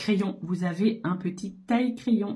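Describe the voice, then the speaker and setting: In a medium pitch, a woman speaks at a very slow pace. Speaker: makeup seller and beauty vlogger. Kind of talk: makeup tutorial. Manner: casual, hesitant with fillers.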